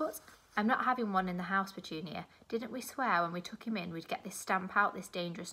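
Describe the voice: This is plain reading aloud. It is simply read out.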